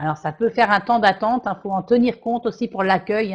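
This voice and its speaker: Against a quiet background, the speech runs at a very fast pace with fairly even intonation. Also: woman. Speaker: training consultant, webinar presenter. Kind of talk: webinar presentation. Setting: online virtual class. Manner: hesitant, with fillers and repetitions.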